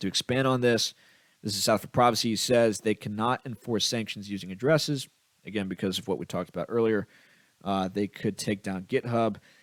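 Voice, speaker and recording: The man talks at a fairly quick pace with a fairly low pitch. His pitch variation is ordinary, with a dry, close sound and no echo. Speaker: crypto podcast host. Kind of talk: solo commentary reading posts. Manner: fast.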